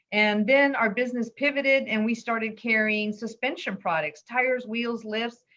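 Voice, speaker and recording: A woman speaks in a fairly high pitch. Her tone is bright and sharp. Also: ordinary pitch variation, moderate pace. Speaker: business owner. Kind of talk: interview.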